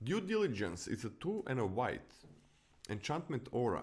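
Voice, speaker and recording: A man with a Croatian accent speaks at medium pitch with very wide pitch swings. The recording is very clean, with a silent background. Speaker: podcast host and streamer. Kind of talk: casual chat, set review. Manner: animated.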